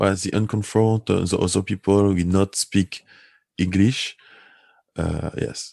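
A man with a strong French accent speaks at a fairly slow pace, leaving long, frequent pauses, in a fairly low pitch with a dark, mellow tone. His intonation is monotone and flat, and the sound is dry and close with no echo. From Guadeloupe. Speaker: community association director, game master. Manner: halting, searching for English words.

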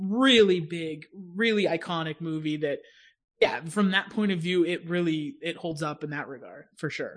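An American accent carries the speech. Little sound comes from behind the voice. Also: man, high pitch for a man, ordinary pitch variation, moderate pace. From Pittsburgh, US. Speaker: podcast host. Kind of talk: casual chat.

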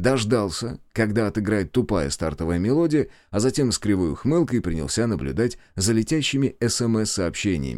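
Lively intonation runs through the voice. It is plain reading aloud.

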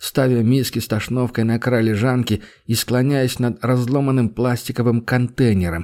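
The reading voice is unforced. Its intonation stays fairly even.

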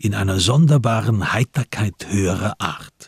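A man talks at a fairly slow pace with lively intonation, a slightly husky edge and vocal fry. The sound is dry and close, with no echo.

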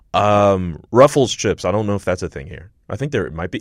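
Talking at a very fast pace, a man speaks with a Montreal accent. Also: very clean recording, silent background. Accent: Canadian English (Montreal). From Montreal, Quebec. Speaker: podcast host. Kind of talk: casual chat. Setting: studio.

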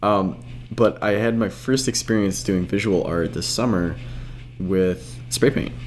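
A man speaks with a very deep, low pitch and vocal fry at a fairly slow pace. His pitch swings very widely. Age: young. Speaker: podcast host. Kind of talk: scripted introduction; casual chat.

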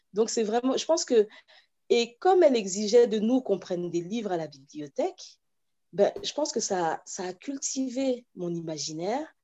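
Her pitch leaping far up and down, a woman talks at a medium speed. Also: fairly high pitch for a woman. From France, then Cameroon from age 8. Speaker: children's author and watercolourist. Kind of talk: interview. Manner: halting, many repetitions.

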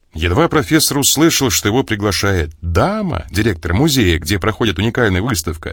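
What you hear is plain reading aloud.

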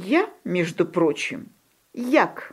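A woman does a put-on character voice with a slightly husky edge and fairly low pitch. She speaks very slowly with big pitch swings.

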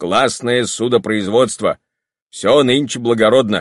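An unforced reading voice comes through over a quiet background. Pitch variation is ordinary.

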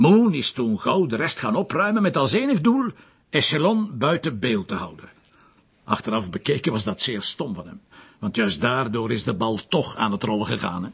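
In a put-on character voice, a man speaks at a moderate pace with medium pitch, a fairly bright tone, vocal fry, a husky, rough edge and big pitch swings.

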